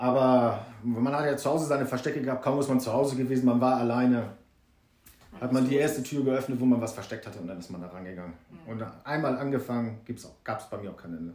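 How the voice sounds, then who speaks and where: Amid noticeable background noise and audible room echo, a man talks at a very fast pace and medium pitch, with ordinary pitch variation and big swings in loudness. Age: 40s. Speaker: guest recounting alcohol addiction. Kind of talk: testimony.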